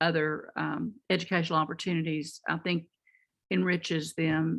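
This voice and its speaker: A fairly low-pitched female voice with a Texas accent and fairly even intonation over a quiet background. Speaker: community training center worker. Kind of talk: audience comment in online conference. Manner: halting.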